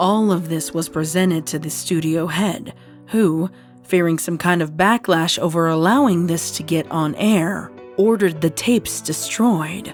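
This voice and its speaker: Over music in the background, a woman speaks at a fairly slow pace with a fairly low pitch and ordinary pitch variation. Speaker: voice actor, horror story narrator. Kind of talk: creepypasta reading, horror story narration.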